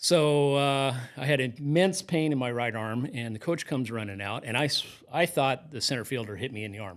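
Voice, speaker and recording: On a very clean recording with a silent background, a man with an unremarkable speaking voice and an American accent talks fairly quickly at a medium pitch, with ordinary pitch variation. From Kansas (Newton, north of Wichita). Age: 60s. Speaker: high school athletic trainer. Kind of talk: interview storytelling.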